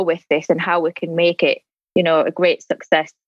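A woman speaks with a northeast English accent. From northeast England. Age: 40s. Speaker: mature international student, new podcast host. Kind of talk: casual interview.

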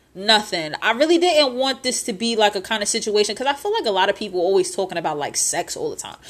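A woman with an American accent talks very fast at a fairly high pitch, her tone animated and her pitch swinging very widely over noticeable background noise. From upstate New York. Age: 20s. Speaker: podcast host. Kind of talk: casual chat. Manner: casual, animated, conversational.

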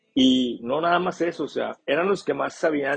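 A man's voice at a moderate pace. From northern Mexico. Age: 20s. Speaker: podcast host and construction business owner. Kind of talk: casual monologue podcast. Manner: animated.

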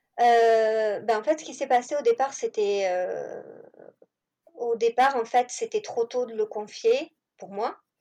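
A woman's high-pitched, dark, mellow voice at a very slow pace, with long, frequent pauses, big swings in loudness, ordinary pitch variation, and a dry, close sound with no echo. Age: 40s. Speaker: home-schooling mother. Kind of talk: interview.

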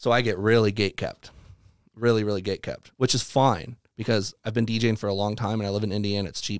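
A man with a Southern US accent speaks at a fairly low pitch and a fairly quick pace. His intonation is monotone and flat, on a very clean recording with a silent background. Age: 30s. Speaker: electronic music producer and DJ. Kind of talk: casual chat.

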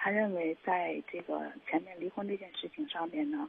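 A woman's fairly slow pace with lively intonation. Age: 40s. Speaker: caller seeking relationship advice. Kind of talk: call-in advice conversation. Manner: halting, many fillers.

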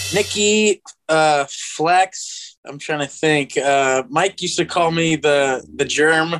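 Speaking at a very slow pace yet with hardly any pauses, a man with an American accent uses a fairly high pitch and ordinary pitch variation. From New Jersey (Atlantic City area). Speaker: professional skateboarder. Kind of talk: casual chat.

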